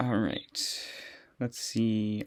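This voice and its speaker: The pace here is very slow. It is a man who talks. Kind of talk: casual movie tier list talk. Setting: recorded in a closet. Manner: monotone.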